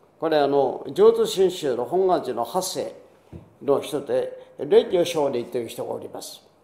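Audible room echo surrounds a man speaking at a fairly slow pace with a high pitch, lively intonation and big swings in loudness. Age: 80s+. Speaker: pastor. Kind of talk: sermon. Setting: church. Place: church. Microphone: podium.

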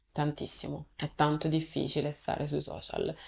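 At a moderate pace, a woman is talking. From Rome, Italy; Italy. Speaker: content creator. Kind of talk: casual interview. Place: studio.

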